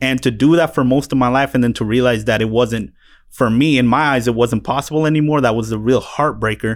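On a very clean recording with a silent background, a man with an unremarkable speaking voice talks fairly quickly at medium pitch with fairly even intonation. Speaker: podcast host. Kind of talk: casual chat. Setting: studio.

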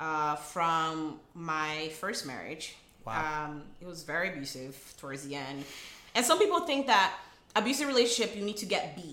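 Her pitch is very deep and low, and this woman talks at a moderate pace with lively intonation and big swings in loudness. Noticeable background noise sits behind her. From Rio de Janeiro, Brazil. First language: Portuguese. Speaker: attorney. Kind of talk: casual interview chat.

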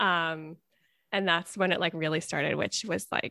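In an American accent, a woman with an ordinary speaking voice talks at a fairly low pitch with ordinary pitch variation, the sound dry and close with no echo. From Connecticut. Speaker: podcast co-host, opera singer. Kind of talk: casual conversation interview.

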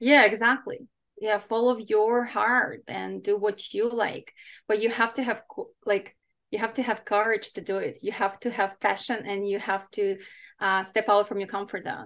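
The intonation is monotone and flat, with a non-native accent. The background is quiet. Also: woman, fairly high pitch for a woman, moderate pace. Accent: foreign-accented English. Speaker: fitness coach and competitor. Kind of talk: podcast interview.

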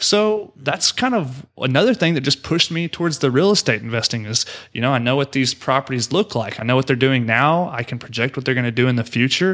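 A man with an unremarkable speaking voice and an American accent talks at a fairly quick pace with hardly any pauses. His pitch is medium, his intonation lively, and the recording very clean with a silent background. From Oklahoma. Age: 20s. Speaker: real estate investor. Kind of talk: podcast interview.

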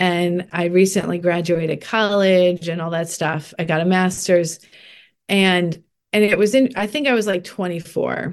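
Against a quiet background, a woman with an ordinary speaking voice, fairly low in pitch, talks at a moderate pace with ordinary pitch variation. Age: 40s. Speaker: life coach and retreat leader. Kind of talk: casual chat.

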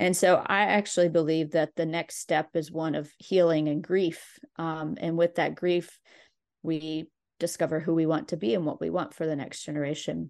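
A plain, everyday voice in an American accent keeps a fairly even intonation over a quiet background. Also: woman, fairly low pitch for a woman, moderate pace. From West Virginia. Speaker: documentary filmmaker. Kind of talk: interview. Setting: video call.

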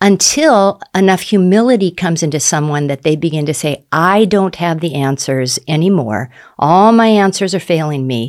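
At a moderate pace with hardly any pauses, an unremarkable speaking voice carries lively intonation. The recording is very clean, with a silent background. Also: woman, fairly low pitch for a woman. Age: 60s. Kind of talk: faith testimony interview.

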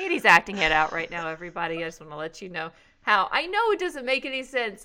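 A woman talks at a very fast pace. Her pitch swings very widely and her loudness shifts a lot. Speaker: podcast host. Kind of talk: casual chat.

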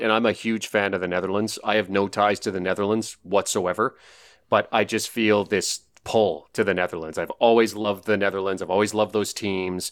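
A man speaks at a fairly quick pace with fairly low pitch and fairly even intonation, in an ordinary speaking voice. The recording is very clean, with a silent background. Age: over 25. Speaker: sports betting analyst. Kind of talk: casual chat.

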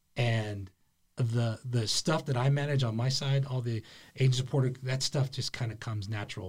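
On a very clean recording with a silent background, a man talks at a fairly quick pace in a somewhat breathy, medium-pitched voice with ordinary pitch variation. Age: middle-aged. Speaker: border patrol senior official. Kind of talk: casual interview.

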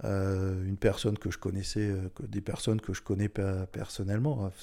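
A man with a dark, mellow tone talks at a fairly low pitch and a moderate pace. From Alsace, France (Strasbourg). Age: 60s. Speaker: mayor. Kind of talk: interview.

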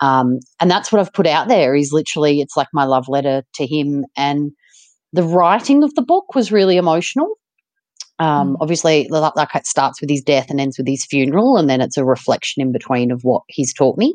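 A woman's very deep, low voice in an Australian accent, dry and close with no echo. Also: ordinary pitch variation, fairly quick pace. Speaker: ultramarathon runner and author. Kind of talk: interview.

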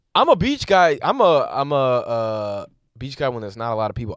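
A man talks at a fairly quick clip in a medium pitch, with a plain, everyday voice. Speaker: comedian podcast host. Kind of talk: casual comedic banter.

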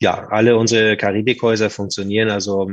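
A man talks at a fairly low pitch in a monotone, flat intonation. The background is quiet. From northern Germany, Hamburg. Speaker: hotel group manager. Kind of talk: interview.

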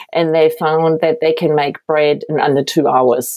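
With a German accent, a woman speaks at a very deep, low pitch and fairly even intonation. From Germany, Berlin. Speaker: baker and bakery owner. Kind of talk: interview.

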